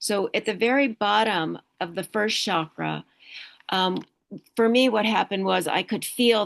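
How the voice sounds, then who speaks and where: Against a quiet background, a woman uses a plain, everyday voice at a medium pitch and a moderate pace. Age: 60s. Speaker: meditation teacher and energy healer. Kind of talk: talk to online group, spiritual presentation.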